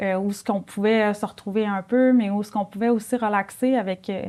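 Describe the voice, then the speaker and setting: In a very clean recording with a silent background, a woman speaks at a medium pitch with a Saguenay accent. Her tone is dark and mellow, with ordinary pitch variation. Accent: Saguenay Quebec French. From Quebec, Saguenay. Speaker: nurse and mother. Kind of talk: testimony. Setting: studio.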